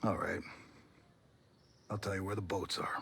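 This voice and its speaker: Putting on a character voice, a man speaks raspy and fairly low at a moderate pace. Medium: video game. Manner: blunt, dry.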